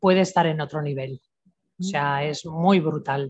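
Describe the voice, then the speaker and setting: At a fairly slow pace, a woman sounds somewhat breathy, with ordinary pitch variation and a quiet background. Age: 60s. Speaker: natural health therapist. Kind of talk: interview.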